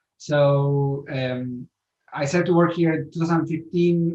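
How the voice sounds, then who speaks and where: A man's fairly high voice, somewhat breathy, with a slight Spanish accent. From Spain. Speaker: author. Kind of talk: interview.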